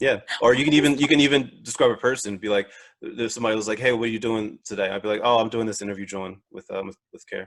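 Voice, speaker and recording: The man rattles along very fast, his pitch varying in an ordinary way. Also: medium pitch for a man, big swings in loudness. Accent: Philadelphia-New Jersey. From Philadelphia / South Jersey, US. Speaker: podcast host. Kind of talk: casual interview chat. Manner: repeats words, hesitant fillers.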